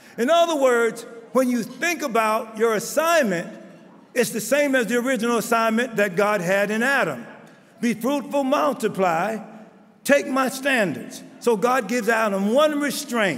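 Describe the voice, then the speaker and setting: Audible room echo surrounds a voice moving at a moderate pace with ordinary pitch variation. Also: man. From Baltimore, US. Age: 70s. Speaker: bishop. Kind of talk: conference speech.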